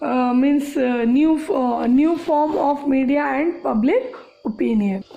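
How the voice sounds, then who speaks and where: High-pitched and very slow, a woman speaks with audible room echo around her. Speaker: school teacher. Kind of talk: online class lecture. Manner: halting.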